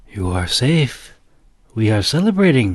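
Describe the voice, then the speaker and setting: A man performs a put-on character voice. His pitch makes very wide swings. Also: medium pitch for a man, moderate pace. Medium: read story. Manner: patient, soft-spoken.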